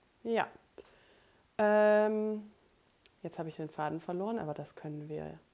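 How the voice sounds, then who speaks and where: A woman's dark, mellow, fairly low voice at a fairly slow pace, broken by long, frequent pauses. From Germany, rural Lower Saxony (Emsland near Meppen). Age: 20s. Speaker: podcast co-host, bookkeeper and student. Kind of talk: casual chat.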